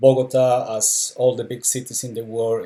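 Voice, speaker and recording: A man with a Colombian accent speaks at medium pitch, somewhat breathy. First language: Spanish. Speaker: travel and documentary photographer. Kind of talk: live online talk with slides. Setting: Facebook live stream. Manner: hesitant, many fillers.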